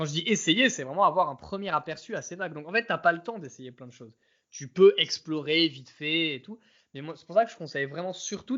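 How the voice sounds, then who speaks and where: Loudness swings widely throughout, and the pace is fairly quick. The intonation is lively. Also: man. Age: 30s. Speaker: former professional poker player. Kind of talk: casual interview chat.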